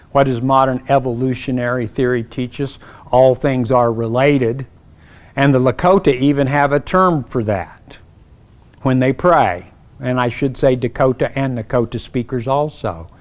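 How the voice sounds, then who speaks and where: A man with an Oklahoma accent at a moderate pace. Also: medium pitch for a man, ordinary pitch variation. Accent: Oklahoma twang. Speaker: professor. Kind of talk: keynote speech. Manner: conversational, with self-corrections.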